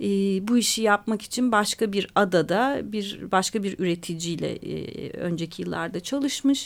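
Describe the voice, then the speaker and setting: In a normal speaking voice, a woman talks at a medium pitch and a fairly slow pace, with ordinary pitch variation and hardly any pauses. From Istanbul, Turkey. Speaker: author and journalist. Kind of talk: radio interview.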